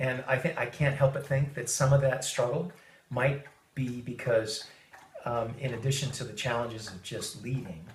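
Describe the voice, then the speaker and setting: With audible room echo, a man at a medium pitch speaks at a moderate pace with ordinary pitch variation and big swings in loudness. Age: 50s. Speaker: high-tech worker. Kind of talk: interview. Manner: halting, many fillers.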